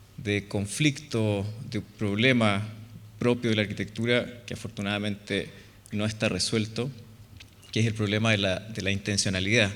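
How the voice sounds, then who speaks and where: With a Chilean accent, a man speaks at a fairly low pitch with fairly even intonation, and audible room echo surrounds him. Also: moderate pace. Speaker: architect. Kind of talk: lecture.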